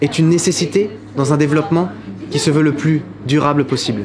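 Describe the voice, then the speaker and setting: A man's fairly high voice, with ordinary pitch variation, is heard through noticeable background noise. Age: 20s. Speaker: political candidate. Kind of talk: campaign statement. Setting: outdoors in front of a school.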